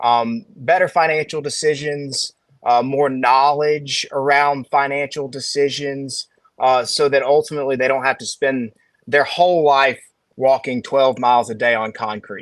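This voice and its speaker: A man speaks in a Southern accent at a fairly high pitch. His intonation stays fairly even. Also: moderate pace. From Alabama. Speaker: financial advisor. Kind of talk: casual chat.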